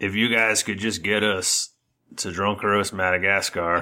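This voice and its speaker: In a put-on character voice, the speaker sounds raspy and talks at a moderate pace in a monotone, flat way, recorded very cleanly against a silent background. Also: man, fairly low pitch for a man. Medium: actual play. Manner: hesitant, stammering.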